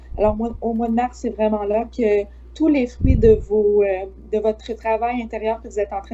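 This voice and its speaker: A woman's fairly slow speech comes through noticeable background noise. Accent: Quebec. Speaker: psychic medium. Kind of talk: psychic forecast in live chat. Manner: many hesitations.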